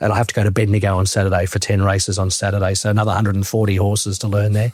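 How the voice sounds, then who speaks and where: A man speaks very fast in a fairly low, somewhat breathy voice, his intonation monotone and flat and his loudness very even. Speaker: sports commentator. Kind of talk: interview answer.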